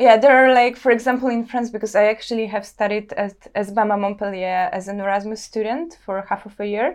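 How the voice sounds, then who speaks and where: With a Polish accent, a woman speaks at a fairly high pitch and fairly quick pace, with hardly any pauses, ordinary pitch variation and a quiet background. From Poland, Warsaw. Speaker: visual artist. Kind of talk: interview. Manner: halting.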